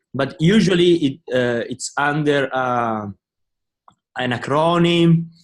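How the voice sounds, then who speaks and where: A man with an Italian accent speaks with ordinary pitch variation. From Italy. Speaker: business student. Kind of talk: class discussion.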